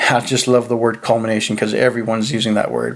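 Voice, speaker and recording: The speaker is a man at medium pitch. Noticeable background noise is present. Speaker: movie reviewer. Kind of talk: video review monologue.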